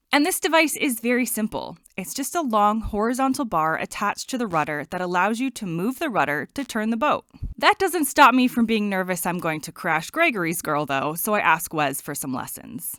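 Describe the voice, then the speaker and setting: Fairly quick, fairly high-pitched female voice with a bright, sharp tone, very wide pitch swings and an American accent, in a very clean recording with a silent background. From United States. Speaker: travel vlogger. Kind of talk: scripted narration.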